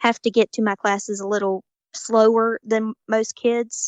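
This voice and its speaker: The sound is dry and close, with no echo. A woman with a fairly high pitch speaks in a Southern US accent. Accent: southern drawl. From US South, Georgia. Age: 19. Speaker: college student, patient. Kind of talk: interview.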